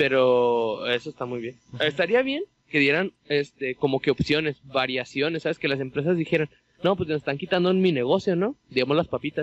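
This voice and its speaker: A man talks in a normal speaking voice, fairly high in pitch. His pace is fairly quick, and his pitch varies in an ordinary way. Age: 20s. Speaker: podcast co-host. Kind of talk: casual chat.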